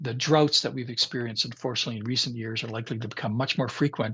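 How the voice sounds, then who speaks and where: Against a quiet background, a man with a Canadian Prairie accent talks at a very fast pace in a medium pitch, with a bright, sharp tone and ordinary pitch variation. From Canadian Prairies, Regina, Saskatchewan. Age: 60s. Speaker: climate scientist. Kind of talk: lecture.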